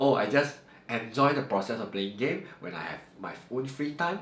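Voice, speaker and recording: A man talks at a moderate pace with ordinary pitch variation. There is audible room echo and noticeable background noise. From Malaysia, Johor (Segamat). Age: 30s. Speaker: math teacher. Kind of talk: Q&A talk to camera. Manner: unscripted, somewhat halting.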